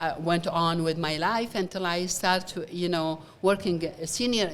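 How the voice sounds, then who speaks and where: In an Iraqi accent, a woman talks at a fairly slow pace with a fairly low pitch. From Iraq, Baghdad. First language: Arabic. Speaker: nonprofit founder, former engineer. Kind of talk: interview. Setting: event venue, gala. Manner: halting.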